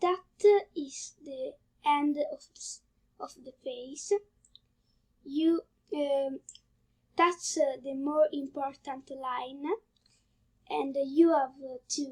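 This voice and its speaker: With an Italian accent, a woman speaks in a high pitch at a very slow pace, using fairly even intonation and long, frequent pauses. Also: big swings in loudness. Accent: Italian accent, non-native English. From Italy. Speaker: drawing tutorial youtuber. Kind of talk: tutorial. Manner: halting, many fillers.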